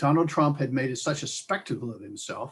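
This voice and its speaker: Talking at a fairly quick pace, a man's fairly high voice sounds somewhat breathy. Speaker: state senator. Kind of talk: talk to alumni group.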